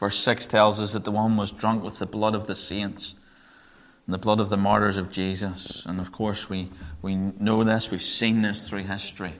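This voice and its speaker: A man with a Northern Irish accent, fairly low pitch and monotone, flat intonation at a moderate pace. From Northern Ireland. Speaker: Bible teacher. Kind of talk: sermon. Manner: hesitant, repeats words.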